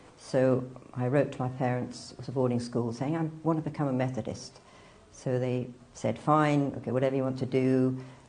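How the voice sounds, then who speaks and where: In a room with audible echo, a woman with a very deep, low pitch talks at a fairly quick pace in a flat monotone. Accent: English. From northern England, near Manchester. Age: 60s. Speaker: convert telling her story. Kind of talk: interview testimony.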